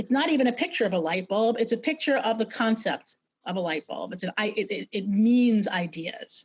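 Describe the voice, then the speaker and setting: Her voice somewhat breathy and fairly high, a woman speaks with an American accent and lively intonation. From New York City. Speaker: brand strategist and sketching teacher; presenter. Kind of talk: webinar presentation. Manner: fast; halting, many fillers and repetitions. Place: home room. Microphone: video call.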